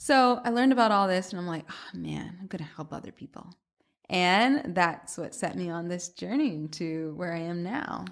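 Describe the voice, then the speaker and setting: A woman's fairly low, normal speaking voice with lively intonation and a moderate pace, on a very clean recording with a silent background. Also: big swings in loudness. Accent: American. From US South, Atlanta. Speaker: cookbook author and food blogger. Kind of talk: casual interview.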